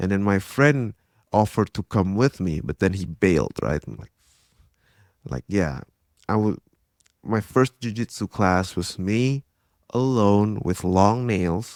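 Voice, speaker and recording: A man's fairly low voice in an Indonesian accent, at a fairly slow pace with long, frequent pauses and ordinary pitch variation, dry and close with no echo on a very clean recording with a silent background. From Indonesia, Jakarta. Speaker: tech entrepreneur and grappler. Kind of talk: casual interview chat.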